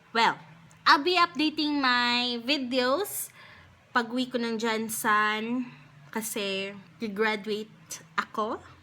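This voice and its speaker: Speaking very slowly with long, frequent pauses, a woman has a high pitch, a bright, sharp tone and ordinary pitch variation. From Philippines. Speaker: beauty YouTuber. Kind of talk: casual talk to camera.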